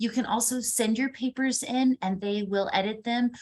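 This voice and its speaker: A woman uses a normal speaking voice, pitched fairly high, with ordinary rises and falls. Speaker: university instructor. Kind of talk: online class lecture. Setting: recorded video call. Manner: casual and upbeat.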